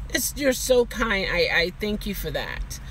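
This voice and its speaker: A woman speaks with an American accent. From Baltimore, Maryland. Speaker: rideshare driver and vlogger. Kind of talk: casual live-stream chat. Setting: live stream. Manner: animated.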